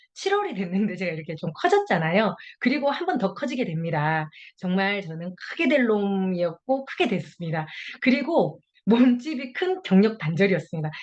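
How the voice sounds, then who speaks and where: A woman's somewhat breathy voice at medium pitch, with very wide pitch swings and a moderate pace. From Jeolla, South Korea. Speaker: health product distributor. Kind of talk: testimony.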